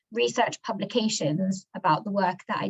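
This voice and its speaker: A woman talks in a medium pitch with vocal fry. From born in London, grew up in the US. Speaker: global health NGO worker, mentee. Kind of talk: self-introduction in video webinar.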